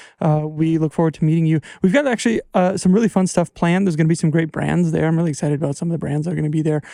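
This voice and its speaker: In an American accent, a man of fairly high pitch with a dark, mellow tone rushes at a very fast pace with hardly any pauses and fairly even intonation, in a dry, close sound with no echo. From Wisconsin, US Midwest. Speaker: podcast host. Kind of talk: casual chat. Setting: studio.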